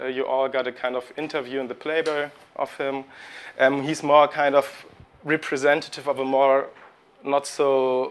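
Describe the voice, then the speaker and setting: A man speaks with a German accent at a moderate pace and fairly high pitch. His intonation is monotone and flat. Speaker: postdoctoral historian. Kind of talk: academic lecture. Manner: halting, with hesitations.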